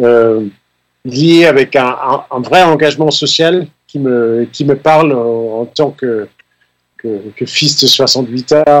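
At a very slow pace with long, frequent pauses, a man speaks at medium pitch with ordinary pitch variation. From Denmark. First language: Danish (speaking French). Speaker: keyboard player. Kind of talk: radio interview. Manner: halting.

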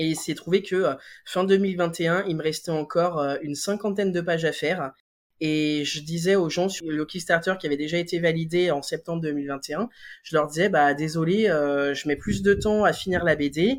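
On a very clean recording with a silent background, a man talks at a moderate pace in a high pitch with fairly even intonation. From France, Lyon region. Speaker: comic book author and drawing teacher. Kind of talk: interview testimony. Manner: hesitant, frequent fillers and repeated words.

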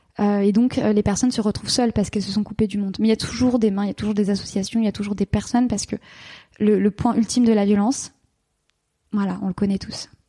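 In a dark, mellow, somewhat breathy voice, a woman speaks very fast with monotone, flat intonation, the sound dry and close with no echo. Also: medium pitch for a woman. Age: 30s. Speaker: couples therapist and sex therapist. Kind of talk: interview.

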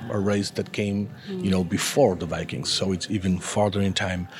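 Speaking with an Argentine accent, a man keeps a moderate pace. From Argentina. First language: Spanish. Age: 40s. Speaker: comic book artist. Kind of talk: interview. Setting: comics festival. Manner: halting.

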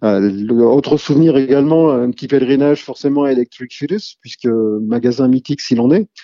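A man with a plain, everyday voice, medium pitch and ordinary pitch variation, at a fairly quick pace with hardly any pauses. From Rennes, Brittany, France. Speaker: music fan. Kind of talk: testimony.

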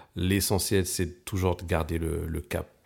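The speech comes at a very slow pace with monotone, flat intonation. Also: man. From Val-d'Oise, near Paris, France. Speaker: bassist. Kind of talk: casual interview chat.

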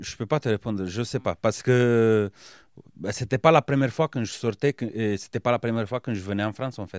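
This is a man speaking. He has a Romanian accent. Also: very clean recording, silent background. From Romania, Bucharest. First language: Romanian (speaking French). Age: 30s. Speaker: business owner and former rugby player. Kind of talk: interview. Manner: hesitant, many fillers.

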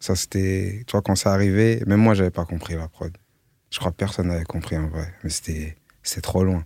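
A man's very deep, low, dark, mellow voice at a moderate pace, dry and close with no echo on a very clean recording with a silent background. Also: ordinary pitch variation. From France, Melun. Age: 30s. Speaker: music producer. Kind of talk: casual chat.

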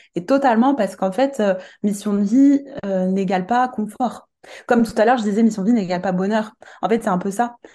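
Speaking at a fairly quick pace, a woman uses a fairly high pitch with ordinary pitch variation and a dark, mellow, somewhat breathy tone. Her speech has long, frequent pauses. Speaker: coach and medium. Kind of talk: casual interview chat. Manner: soft-spoken; hesitant, many filler words.

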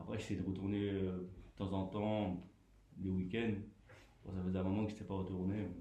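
A man's very deep, low, somewhat breathy voice in a dark, mellow tone, monotone and flat, at a moderate pace with long, frequent pauses. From Grenoble, France. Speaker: community radio participant. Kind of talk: casual interview. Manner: halting.

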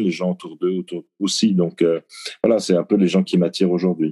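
A man's very deep, low voice carries a dark, mellow tone, recorded dry and close with no echo. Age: 60s. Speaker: novelist and press attaché. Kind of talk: interview. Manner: halting.

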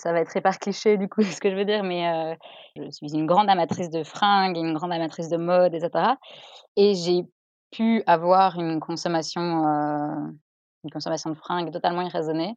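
Against a quiet background, a woman speaks at a moderate pace with fairly low pitch and fairly even intonation. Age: 30s. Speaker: lawyer, listener guest. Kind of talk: casual chat.

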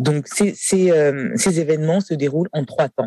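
A man with a fairly high pitch speaks at a fairly slow pace, his tone dark and mellow. His pitch varies in an ordinary way, and the sound is dry and close with no echo. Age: 40s. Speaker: nursing home director. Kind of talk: interview. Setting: café.

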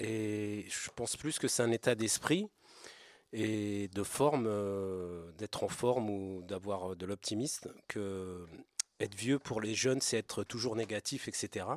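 Recorded very cleanly against a silent background, in a dry, close sound with no echo, a man with a fairly low pitch and ordinary pitch variation speaks at a very slow pace with long, frequent pauses. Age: 50s. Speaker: homeless person, radio columnist. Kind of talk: casual chat.

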